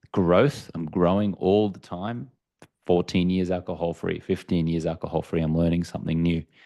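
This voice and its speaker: Against a quiet background, a man with an Australian accent speaks at a moderate pace in a very deep, low pitch, with a dark, mellow tone and fairly even intonation. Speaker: entrepreneur and author, alcohol-free coach. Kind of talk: podcast interview.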